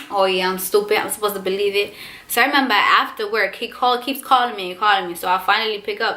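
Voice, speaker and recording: A woman with a strong Spanish accent and an animated tone. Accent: thick Spanish. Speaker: vlogger. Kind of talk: storytime vlog.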